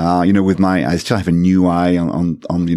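A man with a French accent speaks at a moderate pace in a very deep, low voice with a dark, mellow tone and fairly even intonation. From France. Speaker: tech community volunteer. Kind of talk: casual interview. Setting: studio.

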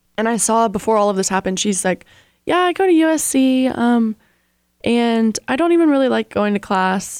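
In a very clean recording with a silent background and a dry, close sound with no echo, a woman talks in a fairly high pitch with a plain, everyday voice. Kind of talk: radio DJ patter, bantering sign-off and station ID. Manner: playful, bubbly, quick back-and-forth with co-host.

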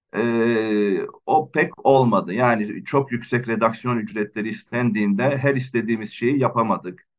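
A man speaks at a fairly slow pace with hardly any pauses, very even loudness and ordinary pitch variation. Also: medium pitch for a man. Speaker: publisher. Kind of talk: radio interview. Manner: halting, many fillers.

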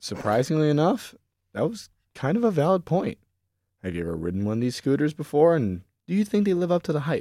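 Talking at a very fast pace, a man with a fairly high pitch and a dark, mellow tone makes very wide pitch swings. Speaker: student and producer of a campus parody news show. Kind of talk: casual chat. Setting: studio.

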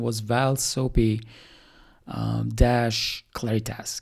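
This man has an Albanian accent and a dark, mellow tone. The recording is very clean, with a silent background. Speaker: startup founder. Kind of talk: solo podcast monologue. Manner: casual, with many fillers.

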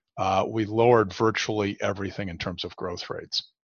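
Using a normal speaking voice, a man talks with fairly low pitch, fairly even intonation and a moderate pace. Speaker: state chief economist. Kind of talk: professional forecast discussion.

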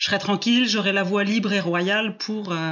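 With fairly even intonation, a woman speaks at a moderate pace in a medium pitch. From southwest France. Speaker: coach on fear, former biology teacher. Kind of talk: interview. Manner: hesitant, many fillers.

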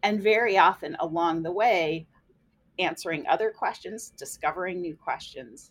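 A plain, everyday voice from a woman, medium in pitch, at a moderate pace with ordinary pitch variation. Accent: American. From US Midwest, central Illinois. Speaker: biology professor. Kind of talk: casual interview.

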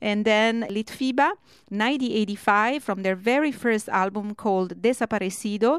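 A woman speaks at a fairly slow pace with ordinary pitch variation, an unremarkable speaking voice and a fairly high pitch, on a very clean recording with a silent background. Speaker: radio host. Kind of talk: live radio DJ patter introducing and recapping songs, with station IDs and show plugs. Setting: radio studio, live broadcast. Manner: friendly, chatty, conversational.

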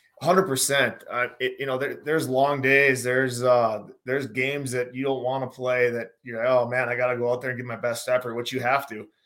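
This man speaks with an American accent at a medium pitch in a monotone, flat intonation. His fairly quick pace has hardly any pauses. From North Dakota, US Upper Midwest. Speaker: former pro hockey player, betting analysis guest. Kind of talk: casual sports betting chat.

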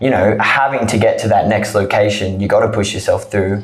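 A man with an Australian accent speaks at a fairly low pitch over noticeable background noise. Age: 20s. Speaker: trekker. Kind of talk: interview. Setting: studio.

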